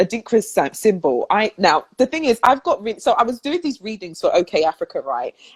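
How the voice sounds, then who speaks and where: A woman with a British accent speaks at a moderate pace in a fairly high voice, her pitch swinging very widely, and the sound is dry and close with no echo. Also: hardly any pauses. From London, England. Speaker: spiritual talk show host. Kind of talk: casual chat. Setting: live video stream.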